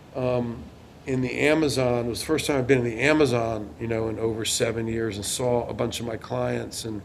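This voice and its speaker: There is audible room echo and noticeable background noise as the man talks, his medium-pitched voice fairly even in intonation. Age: 60s. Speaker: lawyer. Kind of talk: interview.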